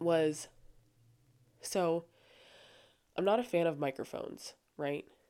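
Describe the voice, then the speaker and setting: A soft-spoken woman with a very deep, low pitch and a dark, mellow tone talks with ordinary pitch variation on a very clean recording with a silent background. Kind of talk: casual faith talk. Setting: home recording with headphones.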